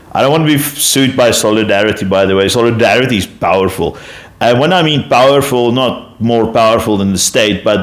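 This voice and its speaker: A man speaks with a South African accent. Noticeable background noise runs under the recording. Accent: Afrikaans-accented English, noticeable. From South Africa, Afrikaner. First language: Afrikaans. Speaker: YouTube commentator. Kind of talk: casual explanatory monologue. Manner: halting, many fillers and self-corrections.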